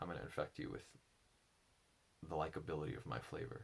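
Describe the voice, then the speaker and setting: This is a man's voice. Vocal fry runs through it. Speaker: enneagram and spirituality teacher. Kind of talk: personal reflective monologue. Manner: halting; slow.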